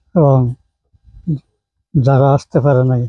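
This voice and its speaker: A man with a somewhat breathy voice, a medium pitch and fairly even intonation. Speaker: retired school teacher. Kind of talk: speech of thanks. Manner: halting.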